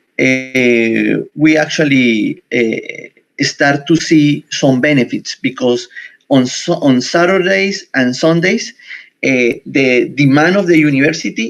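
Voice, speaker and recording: A man talks with a Spanish accent. His intonation is lively. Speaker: university researcher. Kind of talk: conference presentation. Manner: halting.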